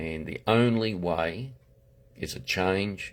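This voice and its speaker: A man with a Queensland accent and a fairly low pitch. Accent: Australian, Queensland. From Australia, far north Queensland. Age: 70s. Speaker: political candidate. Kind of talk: political monologue livestream. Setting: Facebook live video. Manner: halting, many fillers and restarts.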